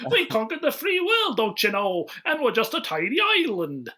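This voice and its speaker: A put-on character voice sits at a fairly high pitch with very wide pitch swings. The pace is moderate. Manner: pompous, mocking.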